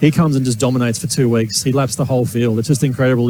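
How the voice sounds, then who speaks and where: Talking at a very fast pace, a man uses an Australian accent. His pitch is medium and his intonation fairly even. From Australia, Gold Coast. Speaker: racing driver. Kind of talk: interview. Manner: hesitant, repeats words.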